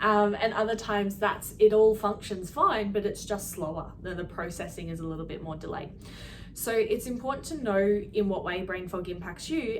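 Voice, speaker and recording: A woman speaks at a moderate pace in a medium pitch with ordinary pitch variation, amid noticeable background noise and audible room echo. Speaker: health clinic practitioner. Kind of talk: educational talk to camera.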